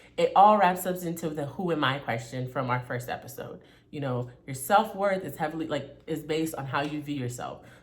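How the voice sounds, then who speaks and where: With hardly any pauses, a woman talks at a fairly quick pace in a very deep, low pitch with ordinary pitch variation, and the room echo is audible. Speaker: self-help vlogger. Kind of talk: casual motivational talk. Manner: stern in places.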